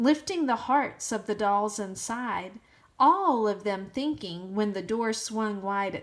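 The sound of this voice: Someone reads in an unforced voice.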